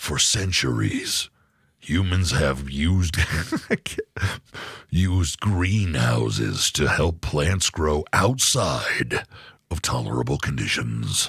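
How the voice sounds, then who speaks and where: In a dramatic, put-on character voice, the speaker goes at a very slow pace with long, frequent pauses and very wide pitch swings. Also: man, very deep, low pitch for a man, very clean recording, silent background. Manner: deep dramatic trailer voice.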